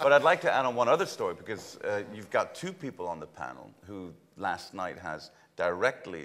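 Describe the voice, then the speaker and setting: A man with a German accent talks at a fairly quick pace. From Germany. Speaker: logistics real estate executive. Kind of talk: conference panel discussion. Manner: halting, many fillers.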